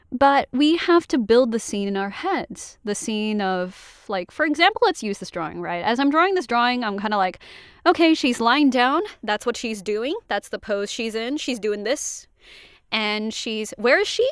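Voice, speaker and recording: A woman speaks at a moderate pace with a fairly high pitch and lively intonation, in a normal speaking voice. The recording is very clean with a silent background. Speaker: voice actor. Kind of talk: casual talk to camera. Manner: chatty, rambling.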